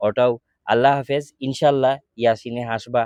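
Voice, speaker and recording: A man's medium-pitched voice with fairly even intonation, in a dry, close sound with no echo. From Sylhet, Bangladesh. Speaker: charity appeal video maker. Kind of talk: charity appeal.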